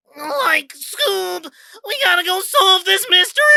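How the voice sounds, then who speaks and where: A put-on character voice, nasal and extremely high, at a fairly slow pace. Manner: forced, grating.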